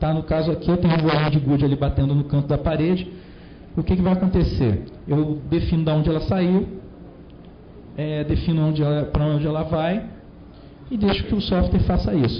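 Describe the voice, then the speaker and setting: Speaking at a fairly quick pace with long, frequent pauses, a man keeps a fairly high pitch, fairly even intonation and very even loudness amid audible room echo. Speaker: conference speaker. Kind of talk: technical talk.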